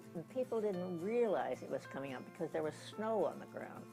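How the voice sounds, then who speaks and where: With music in the background, a woman talks at a fairly quick pace in a very deep, low pitch, making very wide pitch swings. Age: 80s+. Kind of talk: personal memoir storytelling.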